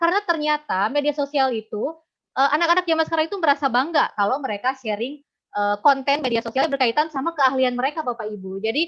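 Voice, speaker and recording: Racing along at a very fast pace, a woman speaks in a high pitch with a slight Sundanese accent and ordinary pitch variation. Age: young. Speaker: university lecturer in Japanese. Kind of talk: webinar presentation. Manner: casual, with fillers.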